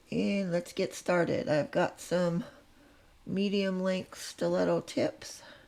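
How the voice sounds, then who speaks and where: A woman's medium-pitched voice, at a very slow pace, with lively intonation. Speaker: nail artist. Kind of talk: tutorial. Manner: casual, conversational.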